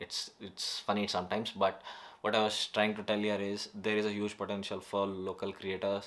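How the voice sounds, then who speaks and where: This man speaks with a Karnataka accent. His fairly low voice holds monotone, flat intonation. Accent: Indian (Kannada) English. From North Karnataka, India. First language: Kannada. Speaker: YouTuber. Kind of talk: casual vlog monologue. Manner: halting, many fillers.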